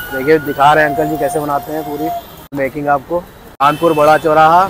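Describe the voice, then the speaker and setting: A man's fairly high voice in a flat monotone at a fairly slow pace, dry with no echo, over noticeable background noise. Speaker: food vlogger. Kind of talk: street interview vlog. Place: street. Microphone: phone near.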